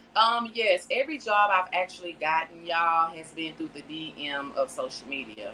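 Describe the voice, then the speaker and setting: A woman talks at a moderate pace with hardly any pauses, her loudness swinging widely over noticeable background noise. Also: fairly low pitch for a woman, lively intonation. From Texas, Port Arthur. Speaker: actress. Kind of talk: interview.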